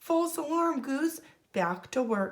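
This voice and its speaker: A female-sounding, put-on character voice is pitched high for a woman. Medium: read story. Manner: huffy, bossy.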